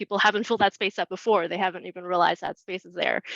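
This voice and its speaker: A woman speaks at medium pitch with vocal fry and fairly even intonation, the sound dry and close with no echo. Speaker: community housing advocate. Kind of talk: webinar presentation. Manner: fast.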